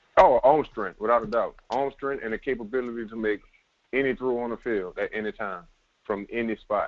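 Speaking with a New Orleans accent, a man has a medium pitch and ordinary pitch variation. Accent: New Orleans Southern. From New Orleans, US South. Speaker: semi-pro football player. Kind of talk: casual sports podcast interview.

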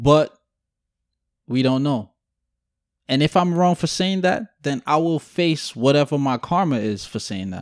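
With a New York accent and lively intonation, the speaker goes at a fairly slow pace with long, frequent pauses, in a very clean, dry, close recording with a silent background and no echo. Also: man, fairly high pitch for a man. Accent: New York City. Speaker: podcast host. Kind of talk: casual banter podcast conversation.

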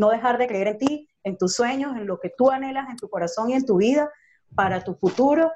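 This woman has a high voice with a dark, mellow tone. She speaks at a fairly quick pace. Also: lively intonation. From Venezuela. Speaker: radio host. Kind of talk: radio interview. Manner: warm, enthusiastic.

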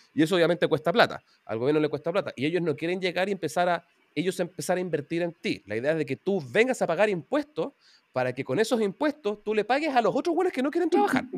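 With a Chilean accent, the speaker talks at a very fast pace with very wide pitch swings, in a dry, close sound with no echo. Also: man, high pitch for a man, very clean recording, silent background. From Chile, Santiago. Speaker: programming teacher and YouTuber. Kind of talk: interview.

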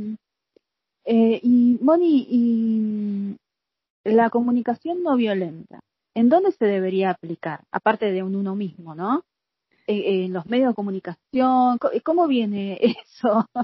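Her pace is very slow and her voice somewhat breathy. This woman speaks at a fairly high pitch with lively intonation. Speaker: podcast host. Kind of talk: interview.

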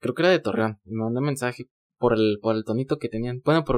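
A man with a medium pitch speaks at a very fast pace in a dry, close sound with no echo. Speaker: podcaster. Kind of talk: casual chat. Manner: gets loud at times.

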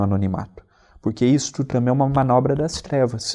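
The tone is dark and mellow, the pace moderate, and the background quiet. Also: man. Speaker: radio co-host. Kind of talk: religious radio talk.

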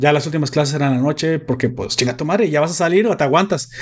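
Very fast and animated, a man with a Mexican accent talks at a fairly high pitch with ordinary pitch variation. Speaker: podcast host. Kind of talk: casual chat; announcement.

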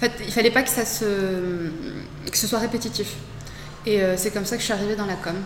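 Audible room echo and noticeable background noise fill the recording. The delivery has a moderate pace and ordinary pitch variation. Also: woman, medium pitch for a woman. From Morocco. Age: 20s. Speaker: entrepreneur. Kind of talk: interview. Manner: hesitant, many fillers.

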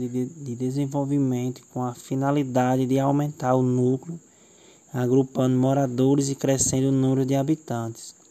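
At a fairly slow pace, a man speaks in a dark, mellow tone at a medium pitch, with monotone, flat intonation. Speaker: teacher. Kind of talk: local history talk.

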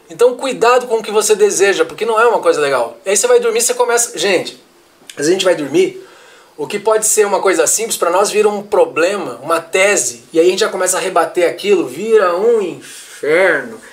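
Lively intonation at a fairly quick pace, with noticeable background noise. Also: man, high pitch for a man. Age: 30s. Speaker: history teacher. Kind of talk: casual interview. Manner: halting, repeats words.

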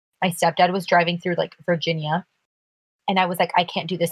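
A woman's somewhat breathy, fairly low voice at a very fast pace, with a dry, close sound and no echo. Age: 20s. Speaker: podcast co-host. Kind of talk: casual chat.

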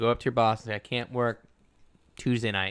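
A man's medium-pitched voice has a bright, sharp tone. He speaks at a very fast pace on a very clean recording with a silent background. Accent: American. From US South. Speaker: podcast co-host, counselor. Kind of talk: casual chat. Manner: animated.

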